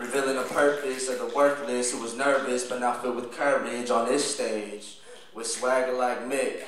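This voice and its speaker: A man talks at a moderate pace. Light background noise and audible room echo are present. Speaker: spoken word poet. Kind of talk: spoken word poetry performance. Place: stage.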